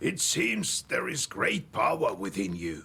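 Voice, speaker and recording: A man performs a put-on character voice. The sound is raspy. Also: fairly slow pace. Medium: video game. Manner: slow, thoughtful.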